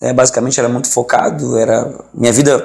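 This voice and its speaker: A man speaks in a Rio de Janeiro accent. His pace is moderate. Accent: carioca (Rio de Janeiro). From Rio de Janeiro, Brazil. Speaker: pastor, former professional footballer. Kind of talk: interview. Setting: studio.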